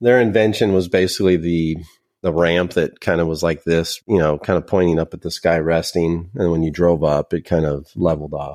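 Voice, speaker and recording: A man with an American accent speaks quite fast at a very deep, low pitch, keeping his intonation fairly even. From Northern California, Sacramento suburb. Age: 40s. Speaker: software company account manager, former machinist. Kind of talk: casual interview chat. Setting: video call.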